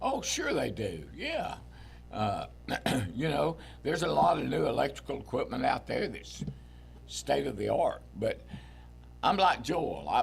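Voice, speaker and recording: Noticeable background noise runs under a man who speaks with long, frequent pauses. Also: fairly slow pace. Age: 70s. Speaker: veteran angler. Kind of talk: casual interview chat.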